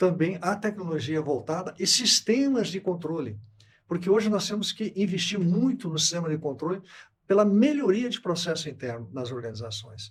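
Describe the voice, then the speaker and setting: A man talks at a high pitch. His pitch swings very widely. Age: 70s. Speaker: company CEO. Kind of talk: podcast interview.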